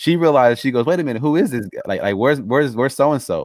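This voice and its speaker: A man with an American accent at a very fast pace, with ordinary pitch variation, in a very clean recording with a silent background. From Los Angeles, US. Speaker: podcast host. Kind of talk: interview. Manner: halting.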